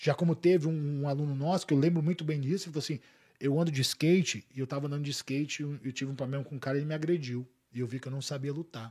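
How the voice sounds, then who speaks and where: A man's dark, mellow, somewhat breathy voice, fairly high in pitch, very fast, with fairly even intonation. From Boa Vista, Roraima, northern Brazil. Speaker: jiu-jitsu academy director. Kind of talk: casual chat.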